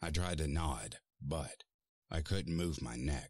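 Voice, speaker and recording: A man puts on a raspy character voice with a very deep, low pitch, speaking at a fairly slow pace in a dry, close recording with no echo, very clean against a silent background. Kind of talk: horror narration. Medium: read story. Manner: tense, dread-laden.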